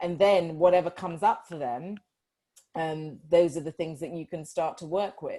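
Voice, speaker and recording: Speaking in a Yorkshire accent, a woman has a fairly low pitch and a dark, mellow tone, with fairly even intonation, a moderate pace and big swings in loudness. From northern England, Yorkshire. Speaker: life coach. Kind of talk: interview.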